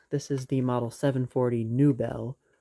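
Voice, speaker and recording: A man's voice with fairly even intonation against a quiet background. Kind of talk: casual show-and-tell commentary. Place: home room. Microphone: phone near.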